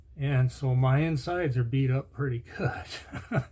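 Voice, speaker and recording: With a medium pitch and a dark, mellow tone, a man speaks somewhat breathily and with ordinary pitch variation. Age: 60s. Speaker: video blogger. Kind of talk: casual chat.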